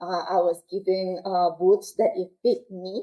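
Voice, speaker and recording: A woman with a strong Peruvian accent speaks at a fairly slow pace. Her pitch is medium. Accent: heavy Peruvian Spanish. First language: Quechua. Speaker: military aircrew member. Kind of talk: interview. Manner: halting.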